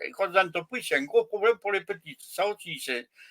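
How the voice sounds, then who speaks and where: A man's voice has a bright, sharp tone. He speaks at a moderate pace with ordinary pitch variation. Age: 70s. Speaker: retired small business owner. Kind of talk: casual chat. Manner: halting.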